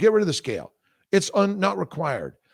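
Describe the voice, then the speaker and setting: With vocal fry and an animated tone, a man talks at a moderate pace on a very clean recording with a silent background. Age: 60s. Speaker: fertility doctor. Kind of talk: casual interview. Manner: halting.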